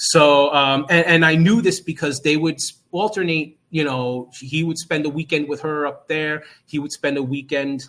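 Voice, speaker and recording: A man with a strong New Jersey accent and a fairly high pitch speaks at a moderate pace in a very clean recording with a silent background. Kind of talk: interview answer.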